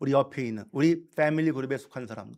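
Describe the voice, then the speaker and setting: A man is speaking. His pace is fairly quick. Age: 60s. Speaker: pastor. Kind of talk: sermon. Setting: church.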